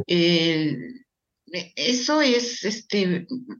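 Lively intonation at a medium pitch from a woman. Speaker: medical geneticist. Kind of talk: interview.

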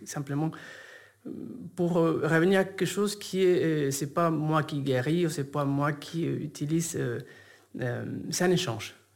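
Speaking at a very slow pace, a man uses a fairly high pitch with ordinary pitch variation. Long pauses come often. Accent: Spanish. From Argentina, Buenos Aires. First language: Spanish (speaking French). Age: 40s. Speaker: yoga teacher and shaman. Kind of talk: interview conversation.

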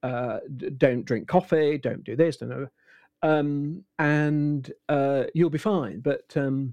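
A man with a British accent speaks very slowly in a fairly high pitch with a dark, mellow tone. The sound is dry and close with no echo, over a quiet background. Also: ordinary pitch variation. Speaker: voice actor. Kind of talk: casual chat.

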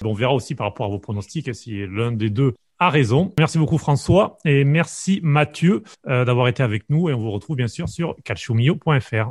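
Lively intonation marks this man's speech, at medium pitch and a moderate pace. His voice is somewhat breathy, and the background is quiet. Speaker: podcast host. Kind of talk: podcast interview.

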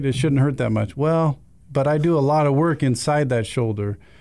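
With an American accent and a dark, mellow tone, a man speaks at a fairly quick pace in a very clean recording with a silent background. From Utah. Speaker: orthopedic surgeon. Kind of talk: interview.

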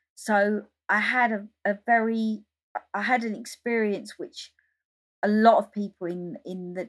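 A woman with an English accent speaks with ordinary pitch variation. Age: 50s. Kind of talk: interview.

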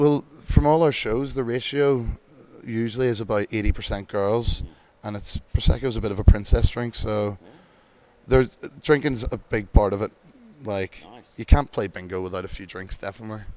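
Fairly quick speech in an Irish accent, with big swings in loudness. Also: man, fairly low pitch for a man, ordinary pitch variation. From Ireland. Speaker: bingo host. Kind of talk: casual interview chat. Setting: town hall, live event.

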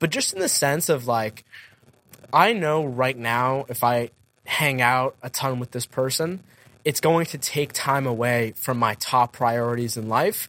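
A man's voice, bright and sharp in tone, sits at a medium pitch and moves at a fairly slow pace with ordinary pitch variation. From central Massachusetts. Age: 20s. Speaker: podcaster and entrepreneur. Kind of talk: interview conversation.

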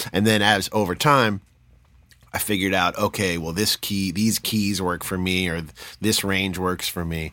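On a very clean recording with a silent background, a man with a very deep, low pitch and a bright, sharp tone talks at a moderate pace with fairly even intonation. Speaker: podcast host and musician. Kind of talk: casual interview chat.

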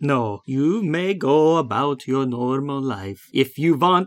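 Putting on a character voice, a woman speaks slowly at an extremely low pitch with lively intonation.

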